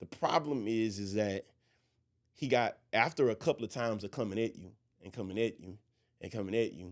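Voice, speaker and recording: Loud and at a fairly quick pace, a man speaks with ordinary pitch variation and long, frequent pauses on a very clean recording with a silent background. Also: medium pitch for a man. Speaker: pastor. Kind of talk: religious discussion podcast. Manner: projecting.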